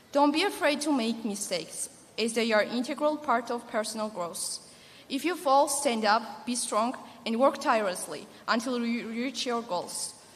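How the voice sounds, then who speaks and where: A woman with a fairly high voice speaks at a moderate pace with lively intonation. Noticeable background noise and audible room echo are present. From Georgia (the country). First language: not English. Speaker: graduating student speaker. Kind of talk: commencement speech. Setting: stage with audience. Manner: formal.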